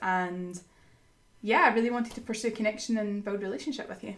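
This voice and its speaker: A woman with a Scottish accent speaks at a fairly high pitch with fairly even intonation. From Scotland. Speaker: podcast guest, ministry school graduate. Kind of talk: casual chat, faith podcast.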